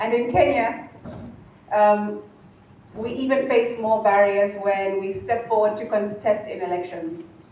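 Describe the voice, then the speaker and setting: Noticeable background noise behind a woman with a fairly high pitch. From Kenya. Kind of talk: public speech at a colloquium.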